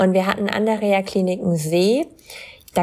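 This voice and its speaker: A woman with a plain, everyday voice. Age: 20s. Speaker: content creator and model with chronic illness. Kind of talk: casual interview.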